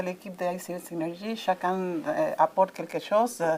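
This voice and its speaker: A woman talks at a moderate pace. Her voice sits at a medium pitch. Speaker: coaching association organizer. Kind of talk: interview. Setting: congress venue. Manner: halting, many hesitations.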